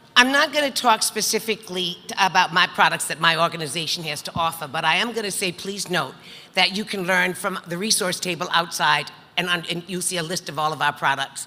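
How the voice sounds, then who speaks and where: Ordinary pitch variation at a fairly quick pace, over noticeable background noise. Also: woman, fairly low pitch for a woman. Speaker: panel moderator, business lender. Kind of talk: panel introduction. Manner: loud.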